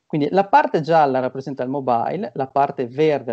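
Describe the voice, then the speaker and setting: Against a quiet background, a man speaks at a fairly high pitch. His tone is dark and mellow. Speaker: marketing consultant and lecturer; speaker. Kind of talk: online seminar talk. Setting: video call. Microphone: video call.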